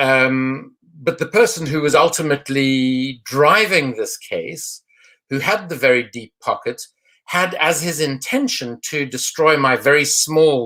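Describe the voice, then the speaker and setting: A man's fairly high, bright, sharp voice at a fairly slow pace. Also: ordinary pitch variation. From South Africa. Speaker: anti-corruption campaigner, former politician. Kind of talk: online panel discussion.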